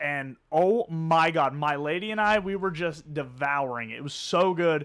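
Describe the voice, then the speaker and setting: A man speaks loudly at a moderate pace in a fairly high pitch, his animated delivery bright and sharp with ordinary pitch variation, on a very clean recording with a silent background. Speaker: sports podcast co-host. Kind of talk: casual chat.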